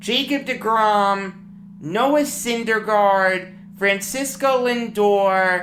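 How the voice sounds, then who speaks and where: A woman with a medium-pitched, bright, sharp tone talks in lively intonation, with audible room echo. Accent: Long Island. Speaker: sports talk host. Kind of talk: sports commentary monologue. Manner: animated.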